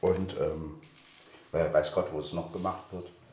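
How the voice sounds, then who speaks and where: There is noticeable background noise and audible room echo as a man talks at a moderate pace. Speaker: podcast host, voice actor. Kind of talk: casual podcast talk.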